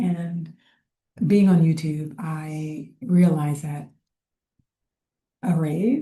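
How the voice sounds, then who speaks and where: Soft-spoken and somewhat breathy, a woman speaks at a fairly low pitch with a dark, mellow tone and ordinary pitch variation. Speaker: lifestyle vlogger. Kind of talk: casual talk to camera. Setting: public co-working space.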